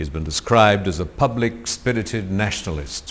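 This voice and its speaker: The speaker is a man. He talks at a moderate pace. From India. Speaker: TV anchor and interviewer. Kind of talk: TV interview introduction. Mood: calm, warm, formal. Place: home room. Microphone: lapel.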